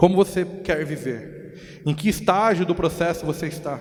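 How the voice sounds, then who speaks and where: A man's high voice with a Brazilian accent, fairly slow, with fairly even intonation. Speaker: pastor. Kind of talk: sermon.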